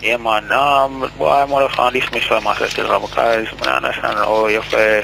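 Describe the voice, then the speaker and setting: A man speaks at a medium pitch and moderate pace, with hardly any pauses and very even loudness. His pitch varies in an ordinary way over noticeable background noise. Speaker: caller. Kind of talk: phone-in call. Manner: halting.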